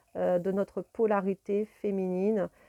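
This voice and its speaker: Her delivery is monotone and flat, set at a medium pitch with a dark, mellow tone. The woman is recorded very cleanly against a silent background. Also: dry, close sound with no echo. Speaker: tarot card reader and spiritual guide. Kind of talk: tarot reading video monologue. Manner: hesitant, many fillers.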